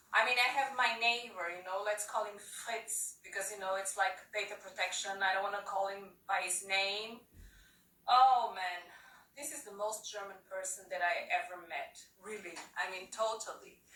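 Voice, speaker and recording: Her voice is bright and sharp, at medium pitch with ordinary variation and a strong non-native accent. This woman talks at a moderate pace with big swings in loudness, and room echo is audible. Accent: strong foreign accent, often taken for French. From Portugal. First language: Portuguese. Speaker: comedian. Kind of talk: stand-up. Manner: animated.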